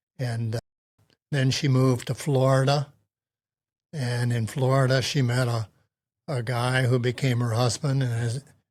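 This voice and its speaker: A somewhat breathy man with an American accent speaks in a flat monotone, leaving long, frequent pauses. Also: medium pitch for a man, moderate pace. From US Northeast. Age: 80s+. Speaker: retiree. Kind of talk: interview. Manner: halting.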